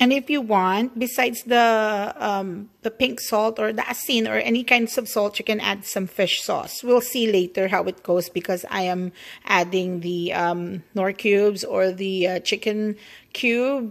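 With a Filipino accent, a woman speaks at a fairly slow pace with ordinary pitch variation. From Philippines, Bacolod (Negros). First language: Hiligaynon (Ilonggo). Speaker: cooking vlogger. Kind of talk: cooking tutorial. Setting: home kitchen. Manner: chatty, rambling. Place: kitchen. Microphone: phone near.

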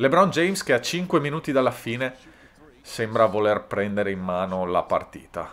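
Talking at a fairly slow pace, a man lets his pitch swing very widely. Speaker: sports YouTuber. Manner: animated, energetic.

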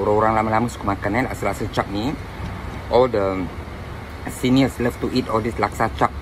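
Fast speech with fairly even intonation plays against clear background noise.

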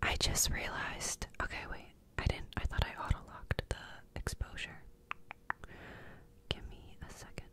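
Soft-spoken whispering comes at a moderate pace with big swings in loudness. The sound is dry with no echo, with noticeable background noise. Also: woman. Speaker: ASMR creator. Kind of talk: soft whispered ASMR chat. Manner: soft close-mic ASMR whisper. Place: home room. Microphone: studio mic.

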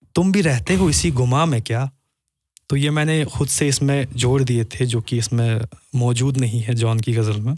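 With a Kashmiri accent, a man talks at a fairly slow pace in a somewhat breathy voice, his loudness very even and his pitch varying in an ordinary way, the sound dry with no echo. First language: Kashmiri (speaking Hindi). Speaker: poet and businessman; poet. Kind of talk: casual chat. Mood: thoughtful, earnest. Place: studio. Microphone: studio mic.

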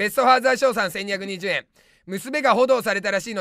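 A man with a high-pitched, raised and projected voice speaks at a fairly quick pace with ordinary pitch variation. The tone is bright and sharp, the sound dry with no echo, and the background quiet. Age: 30s. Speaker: comedian. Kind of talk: live-stream comment rants. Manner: loud. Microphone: webcam.

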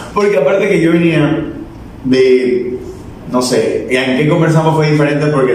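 A man with a coastal Ecuadorian accent, fairly high in pitch and fairly slow, with audible room echo and light background noise. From Ecuador, Guayaquil. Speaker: social media content creator. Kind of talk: casual chat. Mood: relaxed, jokey. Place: studio.

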